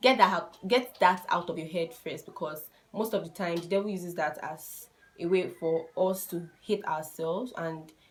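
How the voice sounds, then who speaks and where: A woman's fairly low voice in a Nigerian accent, over noticeable background noise. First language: a Nigerian language (not English). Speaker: YouTuber giving relationship advice. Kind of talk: casual vlog advice talk.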